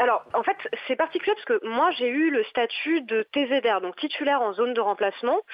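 Lively intonation marks a woman's fairly quick speech. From western France, Nantes. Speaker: secondary school French teacher. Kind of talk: radio interview. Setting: phone call. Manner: hesitant.

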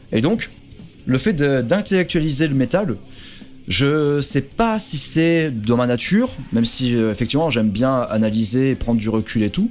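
With a plain, everyday voice, a man speaks at a moderate pace in a medium pitch and with lively intonation. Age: 30s. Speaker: YouTuber and primary school teacher. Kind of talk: radio interview.

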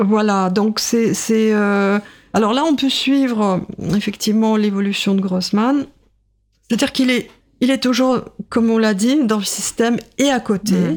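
A woman with a Russian accent speaks at a fairly slow pace, with long, frequent pauses. Her pitch is fairly high, with ordinary pitch variation and very even loudness. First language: Russian (speaking French). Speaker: writer and literature professor. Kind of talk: radio interview. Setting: radio studio. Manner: hesitant, many fillers.

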